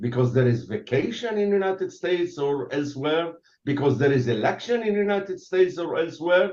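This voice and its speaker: A man with an Arabic accent speaks at a high pitch. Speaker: retired army general. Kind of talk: interview. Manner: halting; animated.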